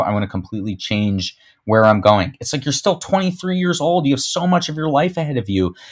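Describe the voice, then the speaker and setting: A man talks at a fairly quick pace with lively intonation, in an ordinary speaking voice. The recording is very clean, with a silent background. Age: 30s. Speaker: social media agency founder. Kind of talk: interview.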